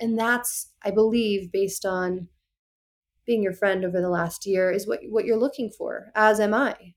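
Against a silent background in a very clean recording, a woman with an unremarkable speaking voice talks at a fairly slow pace and a fairly high pitch. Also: fairly even intonation. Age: 30s. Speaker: podcast guest. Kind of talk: casual chat.

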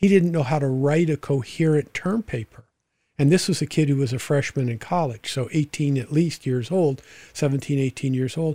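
Here a man speaks at a moderate pace, fairly high in pitch, with ordinary pitch variation. His tone is dark, mellow and somewhat breathy, with a dry, close sound and no echo. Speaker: podcast host and former sports agent. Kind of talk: interview.

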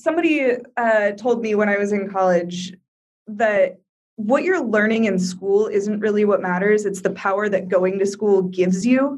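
A woman with an unremarkable speaking voice and an American accent talks at a moderate pace, with a medium pitch, ordinary pitch variation and very even loudness. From Iowa, US Midwest. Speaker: travel blogger and digital nomad. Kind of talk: interview.

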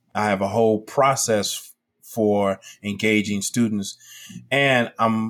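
A man's fairly low voice with an American accent at a very slow pace, on a very clean recording with a silent background. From Chicago, South Side. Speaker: educator and entrepreneur. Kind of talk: casual interview.

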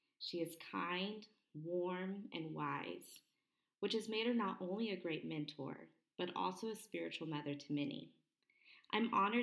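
A plain, everyday voice from a woman, fairly low in pitch, with ordinary pitch variation and a moderate pace. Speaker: podcast host, homeschooler. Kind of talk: interview chat.

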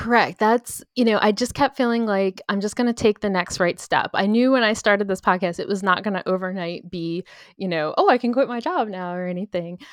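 Speaking at a fairly quick pace with hardly any pauses, a woman uses an ordinary speaking voice at medium pitch with ordinary pitch variation, in a very clean recording with a silent background and a dry, close sound with no echo. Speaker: podcaster and former paralegal. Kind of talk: interview, personal story. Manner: casual, many fillers.

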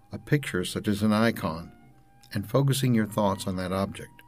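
A man is speaking with ordinary pitch variation. Music plays in the background. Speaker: holistic health podcast host. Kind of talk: educational talk; scripted show intro.

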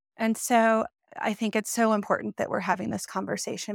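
Recorded very cleanly against a silent background, a woman speaks in an ordinary speaking voice. Her pitch is fairly high with ordinary variation, and the sound is dry and close with no echo. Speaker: podcast host. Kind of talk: interview conversation.

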